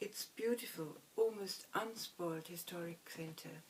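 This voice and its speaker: A woman with a German accent, fairly slow, with ordinary pitch variation, against noticeable background noise. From Germany. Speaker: violinist. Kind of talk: scripted narration.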